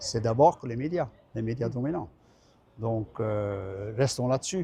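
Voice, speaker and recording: This man talks at a fairly slow pace with a slight Belgian accent. His pitch is medium, with ordinary pitch variation. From Belgium. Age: 70s. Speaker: retired trade unionist. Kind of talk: interview. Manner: halting.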